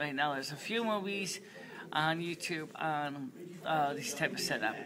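Noticeable background noise runs under speech delivered at a moderate pace. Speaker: vlogger. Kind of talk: casual vlog chat. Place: hall. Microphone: webcam.

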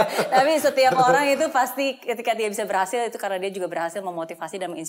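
Talking at a very fast pace, a woman with a fairly high pitch uses lively intonation. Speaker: talk show host. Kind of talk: interview talk. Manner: emphatic, motivating. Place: studio.

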